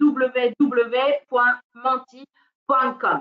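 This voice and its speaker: A woman speaks with a non-native accent. Her pace is very slow. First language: not French (speaking French). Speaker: teacher trainer. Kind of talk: webinar training. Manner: hesitant, many fillers.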